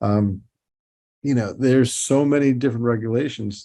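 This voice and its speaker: A man talks in a New York accent. His pitch varies an ordinary amount. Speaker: toy designer and company president. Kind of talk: podcast interview. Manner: halting, many repeats and fillers.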